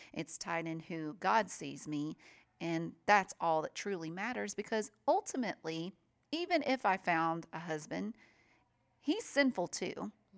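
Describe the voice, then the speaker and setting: With a Southern US accent, a woman talks at a fairly slow pace with a fairly low pitch and lively intonation. The recording is very clean with a silent background and a dry, close sound with no echo. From US South, mainly Nashville, Tennessee. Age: 30s. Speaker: radio host. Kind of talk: casual interview.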